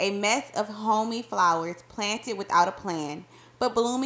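The text is read aloud in a natural voice. The pitch varies in an ordinary way.

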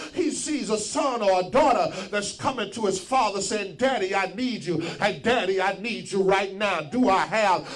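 A man shouting in an animated tone, with high pitch, ordinary pitch variation and moderate pace, over light background noise. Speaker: preacher. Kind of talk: sermon. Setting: church. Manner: call-and-response, urging the congregation to shout back. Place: church. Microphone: handheld.

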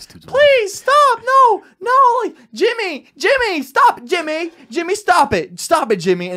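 Shouting in a put-on character voice, a man talks at a very slow pace with an extremely high pitch. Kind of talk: comedic podcast chat, acting out a scene. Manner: screaming, desperate.

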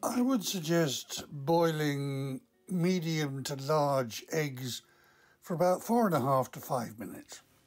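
Very slow speech over faint background music. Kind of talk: tutorial. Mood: calm, gently humorous. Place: kitchen.

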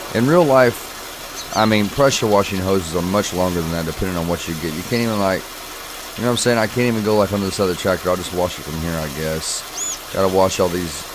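A man whose pitch is very deep and low rattles along at a very fast pace against noticeable background noise. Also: ordinary pitch variation. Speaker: gaming YouTuber. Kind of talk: casual gameplay commentary. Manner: animated, enthusiastic.

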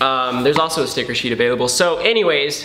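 Recorded with audible room echo and light background noise, a man talks at a fairly quick pace. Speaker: vlogger doing sponsor read. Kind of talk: ad read in casual vlog. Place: home room. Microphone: camera far.

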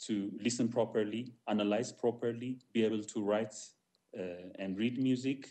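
A man speaks at a moderate pace with a dark, mellow tone. His intonation stays flat and monotone. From Ethiopia. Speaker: jazz musician and music teacher; music teacher. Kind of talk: panel discussion. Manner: halting. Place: home room. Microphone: video call.

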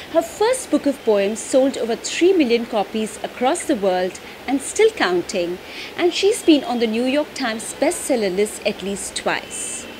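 Against noticeable background noise, a woman talks at a high pitch with very wide pitch swings. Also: fairly slow pace. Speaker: interviewer. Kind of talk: talk show host intro. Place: home room.

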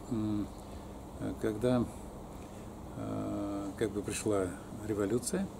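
Long, frequent pauses break up this man's speech, with noticeable background noise behind him. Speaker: alternative health practitioner and academic; interviewee. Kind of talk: life story interview. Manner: halting, with many fillers. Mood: relaxed, reminiscing, sometimes smiling. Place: garden. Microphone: phone near.

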